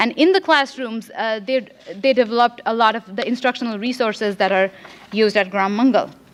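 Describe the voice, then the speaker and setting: Here a woman talks at a fairly quick pace with a Marathi accent. Her pitch is fairly high. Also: ordinary pitch variation. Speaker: graduate student researcher. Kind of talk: conference presentation. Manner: fast; halting, many fillers.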